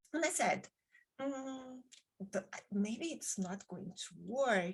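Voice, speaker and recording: A fairly high-pitched woman with a Brazilian Portuguese accent, lively intonation and a very slow pace. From Brazil, Rio de Janeiro. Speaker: author and podcaster. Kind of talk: interview conversation.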